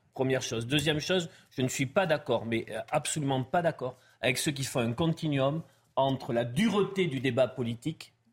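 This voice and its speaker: This man talks at a moderate pace with a fairly high pitch. His voice is somewhat breathy, with ordinary pitch variation. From France, Pau. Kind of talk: panel discussion. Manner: halting.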